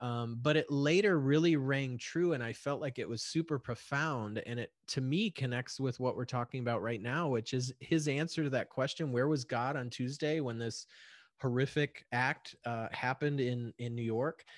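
A normal speaking voice, this man talks at a medium pitch and a moderate pace with ordinary pitch variation and hardly any pauses over a quiet background. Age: 40s. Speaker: podcast host. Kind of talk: casual chat. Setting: remote call.

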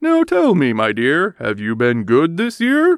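At a fairly slow pace, a man speaks in a high-pitched put-on character voice. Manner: jolly.

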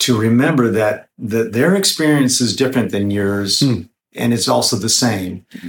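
A normal speaking voice from a man, medium in pitch, with ordinary pitch variation at a moderate pace. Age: 60s. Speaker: singer-songwriter. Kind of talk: interview, casual chat.

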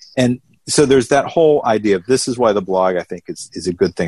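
A man speaks in a Southern US accent at a fairly quick pace, with lively intonation. The sound is dry and close, with no echo. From Atlanta, Georgia. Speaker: ACB director of development. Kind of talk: casual interview chat.

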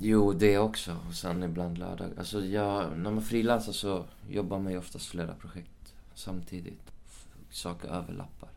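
Audible room echo surrounds a man with a very deep, low pitch. He speaks at a moderate pace with ordinary pitch variation. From Sweden, Uppsala. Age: 20s. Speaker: actor. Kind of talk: casual chat. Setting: hotel room.

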